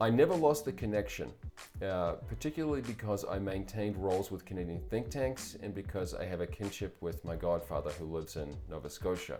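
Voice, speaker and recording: A man in a New Zealand accent, fairly low-pitched and fairly quick, with very wide pitch swings and music in the background. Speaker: publisher and political commentator. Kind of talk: scripted commentary monologue. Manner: formal.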